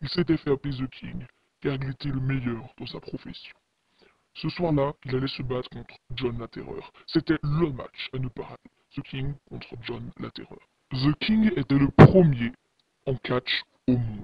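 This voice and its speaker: At a moderate pace with long, frequent pauses, a man puts on a character voice at medium pitch. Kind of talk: horror narration. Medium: read story. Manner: ominous, dramatic.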